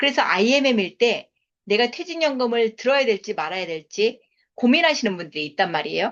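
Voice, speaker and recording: This woman's fairly high voice, marked by vocal fry, swings very widely in pitch at a fairly quick pace. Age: 50s. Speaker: network marketing business lecturer. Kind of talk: sales seminar lecture.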